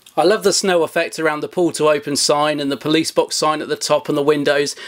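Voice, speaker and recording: A man talks here. He moves at a fairly quick pace. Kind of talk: unboxing commentary. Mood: excited, enthusiastic.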